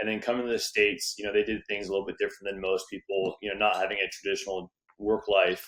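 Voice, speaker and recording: With an American accent, a man delivers his words at a very fast pace in a fairly low pitch and a monotone, flat intonation. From Southern California. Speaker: real estate investor and entrepreneur. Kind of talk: podcast interview.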